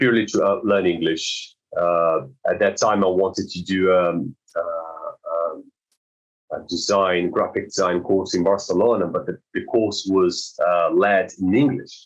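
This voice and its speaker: At a fairly slow pace, a man talks with a Brazilian accent. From South Brazil. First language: Portuguese. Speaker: swimming teacher. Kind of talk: podcast interview. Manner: halting, many repetitions and fillers.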